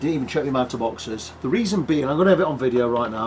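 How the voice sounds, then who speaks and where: The speaker uses lively intonation in an English accent. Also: man. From England. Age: 60s. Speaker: guitar repair technician. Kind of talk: casual chat; workshop tutorial.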